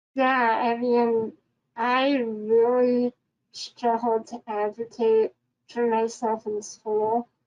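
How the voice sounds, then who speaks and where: Her pitch fairly high, a woman talks at a very slow pace. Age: 20s. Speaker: panelist living with SMA. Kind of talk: panel discussion. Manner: halting.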